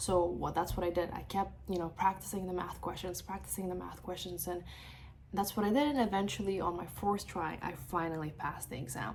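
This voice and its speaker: A woman talks fairly quickly, and audible echo from the room follows her words. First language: not English; English is third language. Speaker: mortgage broker. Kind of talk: personal vlog. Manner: animated.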